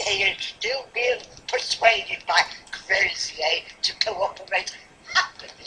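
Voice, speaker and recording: In a put-on character voice, a female-sounding speaker goes at a fairly slow pace and fairly high pitch. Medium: short film.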